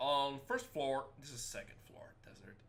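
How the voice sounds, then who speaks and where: Pitch varies in an ordinary way. Audible room echo surrounds the voice. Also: man. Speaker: gaming youtuber. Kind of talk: let's play commentary. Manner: animated; loud.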